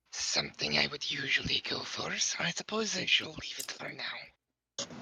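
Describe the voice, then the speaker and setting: In a put-on character voice, the speaker whispers with a gravelly sound. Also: moderate pace. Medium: actual play.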